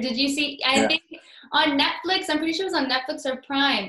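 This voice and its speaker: A woman with a Canadian accent speaks with lively intonation. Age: 20s. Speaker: podcast host. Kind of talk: casual interview. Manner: upbeat, laughs often.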